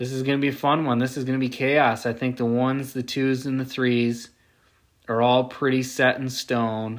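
In a very clean recording with a silent background, a man speaks at a medium pitch with monotone, flat intonation. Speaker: sports betting podcast host. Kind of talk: solo sports betting analysis. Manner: slow.

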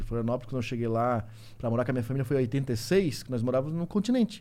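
Speaking at a very fast pace, a man uses lively intonation at a medium pitch. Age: 40s. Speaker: survival instructor, YouTuber. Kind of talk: casual chat.

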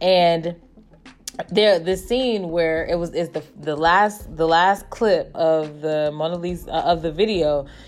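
With fairly even intonation, the talking proceeds at a fairly slow pace. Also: woman, fairly low pitch for a woman. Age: 30s. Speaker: podcast host. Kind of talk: casual monologue. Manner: hesitant, many fillers.

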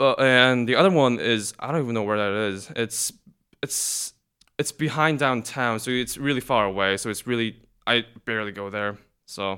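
A bright, sharp tone at a moderate pace, on a very clean recording with a silent background. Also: man, medium pitch for a man, ordinary pitch variation. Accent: Korean. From South Korea. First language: Korean. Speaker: college student guest. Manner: laid-back, laughs often.

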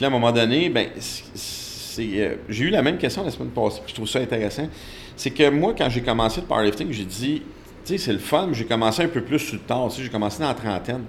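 Noticeable background noise and audible room echo fill the recording. A man speaks at a fairly quick pace. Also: medium pitch for a man, lively intonation. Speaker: strength coach. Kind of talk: interview.

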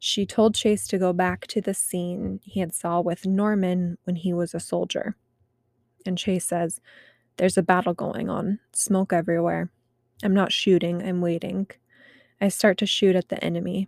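A woman with a medium pitch speaks at a moderate pace in a monotone, flat intonation, in a very clean recording with a silent background and a dry, close sound with no echo. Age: 30s. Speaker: podcast host. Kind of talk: reading aloud; casual monologue. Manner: conversational.

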